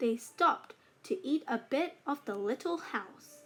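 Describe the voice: A woman's high, fairly bright voice with a slightly husky edge, lively intonation, and a slow pace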